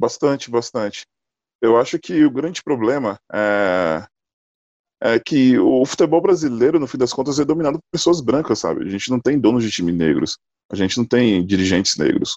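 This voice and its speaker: Recorded with a dry, close sound and no echo, a man speaks with very wide pitch swings. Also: medium pitch for a man, moderate pace. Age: 30s. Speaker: basketball player and civil engineer. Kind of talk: casual discussion.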